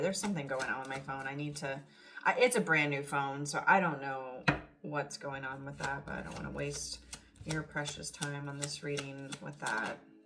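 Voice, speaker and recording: Noticeable background noise sits behind a woman with a very deep, low pitch. She talks at a fairly quick pace. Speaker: tarot reader. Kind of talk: tarot reading. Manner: animated.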